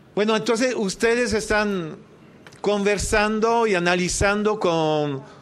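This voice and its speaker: Speaking very slowly in a high pitch with ordinary pitch variation, a man is heard over audible room echo. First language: French (speaking Spanish). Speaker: activist, debt campaign leader. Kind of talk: formal speech at public hearing. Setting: senate committee hearing. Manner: formal.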